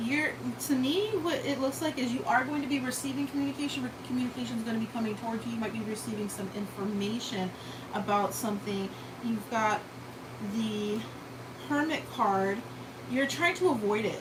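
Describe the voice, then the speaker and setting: Despite long, frequent pauses, a woman with a fairly high pitch talks at a fairly quick pace amid audible room echo and noticeable background noise. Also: ordinary pitch variation. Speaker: tarot reader. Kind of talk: live tarot reading. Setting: live stream. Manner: casual, conversational.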